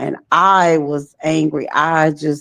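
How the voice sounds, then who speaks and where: This woman has a very deep, low pitch and vocal fry. She talks with an American accent. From Texas (Dallas). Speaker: trafficking survivor and nonprofit founder. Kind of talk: interview testimony.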